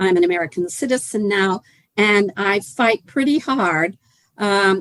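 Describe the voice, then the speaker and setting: A woman with a Canadian accent speaks at a fairly slow pace. Her intonation is lively and her loudness very even. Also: medium pitch for a woman. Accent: Canadian, non-Kentucky. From Canada. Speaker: healthcare activist. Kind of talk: panel presentation.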